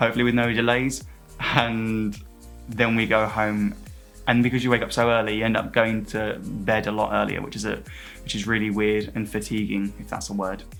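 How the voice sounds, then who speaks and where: A man speaks neither fast nor slow. Background music accompanies him. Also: fairly low pitch for a man. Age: 20s. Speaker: cabin crew. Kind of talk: interview answer. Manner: upbeat.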